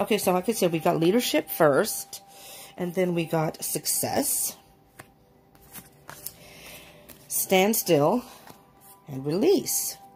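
A woman with faint music in the background. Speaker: card reader. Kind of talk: casual reading commentary. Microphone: phone near.

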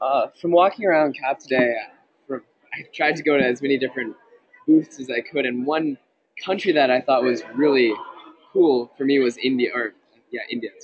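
With an American accent, a man speaks at a moderate pace and a fairly high pitch, showing ordinary pitch variation and taking long, frequent pauses. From Minnesota. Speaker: student delegate. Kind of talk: casual report. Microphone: sketchy connection.

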